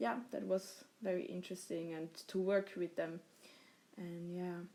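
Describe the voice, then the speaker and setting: A woman with a German accent, medium pitch and fairly even intonation. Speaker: podcast host. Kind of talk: casual chat.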